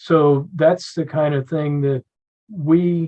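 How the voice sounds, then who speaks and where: Somewhat breathy and fairly even in intonation, a man talks with an American accent. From Philadelphia, Pennsylvania. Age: 70s. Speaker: battlefield preservation advocate, retired Air Force officer. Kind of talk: podcast interview.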